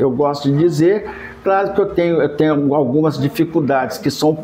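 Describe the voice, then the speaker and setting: This man's pitch sits fairly high, with ordinary variation. Noticeable background noise runs underneath. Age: 70s. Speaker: cultural heritage advocate. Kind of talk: interview.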